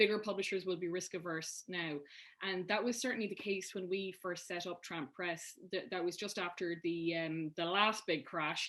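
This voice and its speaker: In an Irish accent, a woman of medium pitch speaks at a moderate pace with fairly even intonation over a quiet background. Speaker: publisher. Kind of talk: panel discussion.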